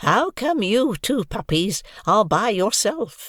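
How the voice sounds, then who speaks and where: Raspy and fairly high in pitch, a put-on character voice moves at a fairly slow pace. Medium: read story. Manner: calm, dry.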